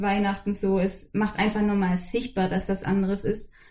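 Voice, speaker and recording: This voice is somewhat breathy, with a dark, mellow tone. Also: woman. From Swabian Jura, southern Germany. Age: 20s. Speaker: podcast guest. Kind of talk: casual interview.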